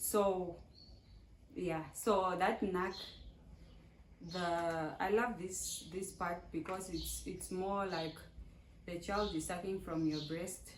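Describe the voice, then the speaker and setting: With vocal fry and a fairly low pitch, a woman speaks at a very slow pace and fairly even intonation, taking long, frequent pauses amid audible room echo. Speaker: vlogger. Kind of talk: casual chat. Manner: halting.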